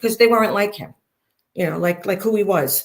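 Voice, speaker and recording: With a Brooklyn accent and vocal fry, a woman speaks in an animated tone. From Brooklyn, New York. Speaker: interviewee, former mob wife. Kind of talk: interview, personal story.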